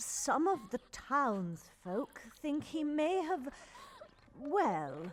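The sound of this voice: A put-on character voice moves through big pitch swings at a very slow pace. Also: woman, high pitch for a woman.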